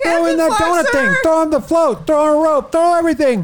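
In a put-on character voice with a high pitch, the speaker goes at a fairly quick pace. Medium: actual play. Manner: breathless, excitable, casual.

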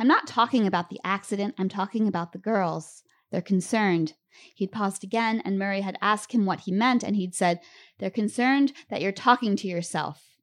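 A woman speaks in an ordinary speaking voice at a medium pitch and a moderate pace, with ordinary pitch variation. The recording is very clean, with a silent background. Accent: American. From Lancaster, Pennsylvania. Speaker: author. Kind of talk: reading aloud. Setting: stage with audience.

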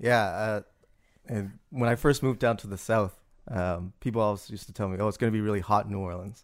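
A man with a Canadian accent and a fairly low voice speaks very fast with fairly even intonation, in a very clean recording with a silent background. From Canada, Toronto. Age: 30s. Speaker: business school administrator. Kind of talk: interview.

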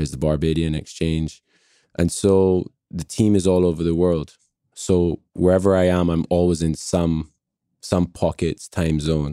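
A very deep, low male voice, dark and mellow, in a monotone, flat delivery at a fairly slow pace, with a dry, close sound with no echo on a very clean recording with a silent background. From Barbados. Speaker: startup CEO. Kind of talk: casual interview.

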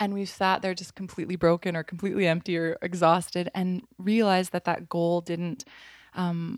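Speaking at a moderate pace, a woman has a normal speaking voice with fairly even intonation at medium pitch. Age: 30s. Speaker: artist and designer. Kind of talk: casual interview.

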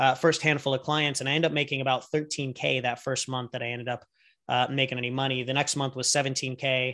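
A man with an American accent, medium in pitch, bright and sharp in tone, at a fairly quick pace in a flat monotone against a quiet background. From US West Coast, San Diego. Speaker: business coach and entrepreneur. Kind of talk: interview, casual chat.

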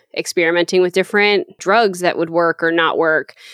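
Recorded with a dry, close sound and no echo, a woman with a plain, everyday voice speaks at a fairly low pitch with ordinary pitch variation. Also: very clean recording, silent background. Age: 20s. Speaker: audio engineer. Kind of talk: casual interview chat.

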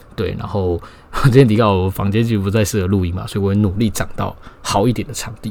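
At a very fast pace, a man with a Taiwanese accent speaks with a fairly low pitch and ordinary pitch variation. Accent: Taiwanese Mandarin. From Taiwan, Taipei. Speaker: podcast host. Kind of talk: solo casual monologue. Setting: home bedroom.

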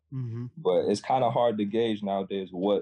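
A man is speaking. His pace is moderate. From Florida, born in Sweden. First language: Swedish. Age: 20s. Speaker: musician. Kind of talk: casual chat.

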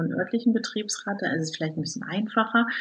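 A woman talks with ordinary pitch variation. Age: 40s. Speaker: works council member, former scrum master. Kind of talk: interview. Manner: hesitant, many filler sounds.

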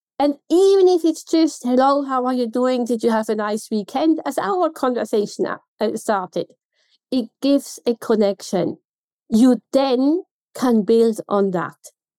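Speaking at a fairly slow pace in a Swiss German accent, a woman uses a high pitch and lively intonation, her tone dark and mellow in a dry, close sound with no echo. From Switzerland. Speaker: contact centre consultant. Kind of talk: interview.

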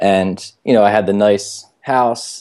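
On a very clean recording with a silent background, a man with an American accent speaks with a fairly low pitch, a dark, mellow tone and fairly even intonation. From US, Baltimore. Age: 20s. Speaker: entrepreneur and travel hacking author. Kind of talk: casual chat.

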